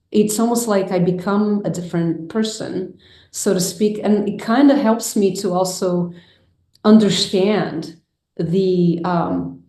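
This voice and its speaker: With audible room echo, a woman at medium pitch speaks very slowly in a dark, mellow tone, her intonation fairly even. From Brazil, Rio de Janeiro. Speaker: filmmaker and mindfulness teacher. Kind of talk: interview conversation.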